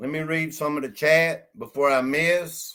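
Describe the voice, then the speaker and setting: A man speaks loudly in a fairly high pitch with a bright, sharp tone. His pace is fairly slow and his intonation fairly even. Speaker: live stream host. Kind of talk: live stream chat.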